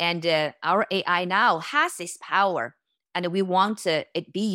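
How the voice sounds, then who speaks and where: A woman speaks at a moderate pace with a Chinese accent. Her fairly low voice has a bright, sharp tone and ordinary pitch variation. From China. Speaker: tech company founder and CEO. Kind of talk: interview.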